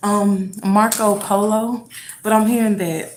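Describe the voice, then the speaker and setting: Audible room echo surrounds a woman whose pitch sits fairly high. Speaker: tarot reader. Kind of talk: tarot reading. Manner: halting.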